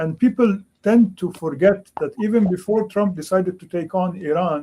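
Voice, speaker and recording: A man with a Lebanese accent speaks at a high pitch. His tone is dark and mellow, with ordinary pitch variation. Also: moderate pace. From Lebanon. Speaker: history professor. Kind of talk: panel discussion.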